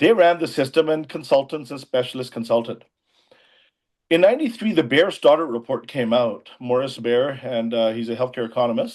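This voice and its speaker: Here is an ordinary speaking voice from a man, pitched medium. He goes at a fairly quick pace, and his pitch varies in an ordinary way. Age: 60s. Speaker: emergency physician and former politician. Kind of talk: interview.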